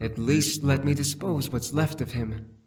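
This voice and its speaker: Put-on character voice from a man, moderate in pace and fairly high in pitch. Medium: video game. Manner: menacing, mocking.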